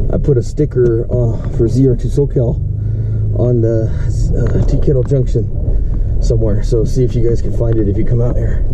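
A man talks at a moderate pace. Noticeable background noise runs throughout. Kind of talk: casual trip commentary. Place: car. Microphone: camera far.

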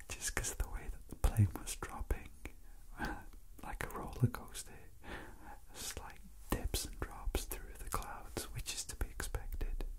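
Whispering, the speaker leaves long, frequent pauses. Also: fairly slow pace. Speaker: asmr creator. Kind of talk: soft spoken ramble. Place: train.

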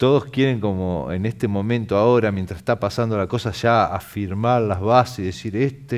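With ordinary pitch variation and a moderate pace, a man speaks over a quiet background. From Argentina, Chubut (Patagonia); Chubut, Argentina. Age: 40s. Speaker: muralist painter; guest. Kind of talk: interview. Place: studio. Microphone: headset.

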